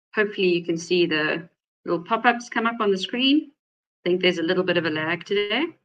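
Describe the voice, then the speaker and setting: A woman of medium pitch talks at a very fast pace with ordinary pitch variation. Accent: South African. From South Africa. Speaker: data privacy attorney, webinar host. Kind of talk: webinar presentation.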